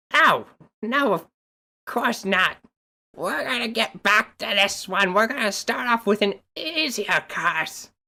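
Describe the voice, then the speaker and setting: A put-on character voice comes in at fairly high pitch. The pace is fairly slow, with long, frequent pauses. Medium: actual play.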